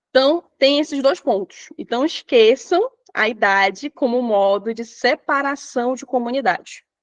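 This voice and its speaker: In a dry, close recording with no echo, a woman speaks at a fairly slow pace with a high pitch and lively intonation. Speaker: teacher trainer. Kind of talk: online lecture. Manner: animated.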